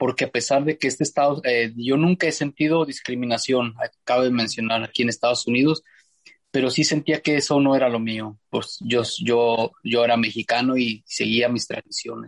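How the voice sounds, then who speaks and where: In a plain, everyday voice, a man talks at a moderate pace and medium pitch with fairly even intonation, the sound dry and close with no echo. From Mexico, Zacatecas (Fresnillo). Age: 50s. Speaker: ultramarathon trail runner. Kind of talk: interview conversation. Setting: remote call.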